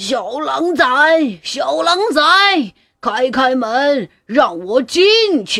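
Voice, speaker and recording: A female-sounding voice, put on as a character, speaks very slowly at a high pitch with very wide pitch swings. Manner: loud, demanding.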